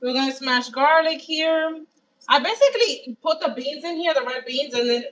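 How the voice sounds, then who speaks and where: The woman here speaks at a moderate pace. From Dominican Republic. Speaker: home cook livestreamer. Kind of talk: cooking livestream. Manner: casual, conversational.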